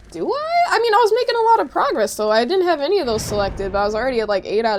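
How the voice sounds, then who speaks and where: Mumbling at a fairly quick pace, a woman speaks in an animated tone. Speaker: game streamer. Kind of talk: casual live stream chat while gaming.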